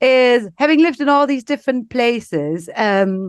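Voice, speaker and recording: A woman with a German accent speaks with very wide pitch swings. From East Germany, Leipzig. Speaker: business executive. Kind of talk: podcast interview.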